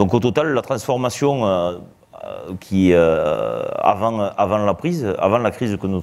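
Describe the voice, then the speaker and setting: A man's fairly low voice at a fairly slow pace. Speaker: association president. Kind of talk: live televised interview. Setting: live broadcast before an audience. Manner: loud; hesitant, many fillers.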